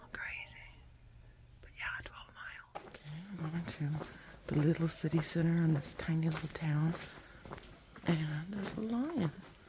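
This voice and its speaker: A woman speaking at a fairly slow pace. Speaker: long-distance hiker vlogger. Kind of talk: casual vlog narration. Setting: outdoors walking. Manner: whispering early morning.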